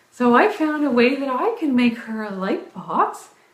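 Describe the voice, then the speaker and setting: Amid noticeable background noise and audible room echo, a woman with an American accent talks at a fairly slow pace in a high pitch with lively intonation. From US South (Orangeburg, South Carolina). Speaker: fitness vlogger. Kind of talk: casual chat. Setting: live video stream.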